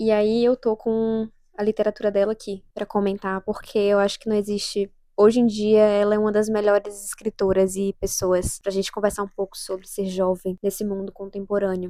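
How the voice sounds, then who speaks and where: A woman's dark, mellow tone, monotone and flat, at a moderate pace, with a dry, close sound and no echo. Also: medium pitch for a woman. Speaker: youtuber. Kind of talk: casual vlog monologue. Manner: soft-spoken; halting. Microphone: new microphone.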